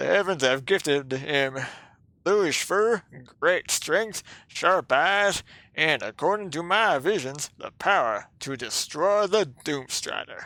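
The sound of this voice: A man's put-on character voice, high-pitched and fairly slow, on a very clean recording with a silent background.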